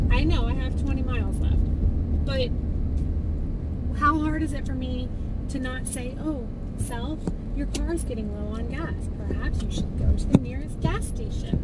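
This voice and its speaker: A woman speaks at a moderate pace with ordinary pitch variation, leaving long, frequent pauses. Loud background noise runs underneath. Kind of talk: casual vlog chat. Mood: light, self-mocking. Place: car. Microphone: phone near.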